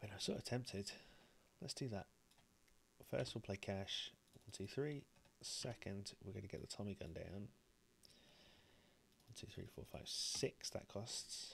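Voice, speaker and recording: A man speaks quietly and somewhat breathily. He goes at a fairly slow pace with long, frequent pauses. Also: fairly low pitch for a man, ordinary pitch variation. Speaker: board game streamer. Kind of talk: gameplay commentary. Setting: live stream.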